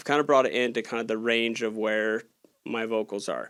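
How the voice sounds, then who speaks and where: Heard against a silent background in a very clean recording, the voice keeps a moderate pace. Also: man. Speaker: gear reviewer and audio engineer. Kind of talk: tutorial. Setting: studio. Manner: casual, energetic.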